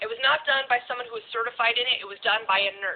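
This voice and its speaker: A woman with an American accent talks at a very fast pace in a fairly high pitch, with ordinary pitch variation and noticeable background noise. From Alaska, US. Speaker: tattooed model and live streamer. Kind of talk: casual live stream chat. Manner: loud.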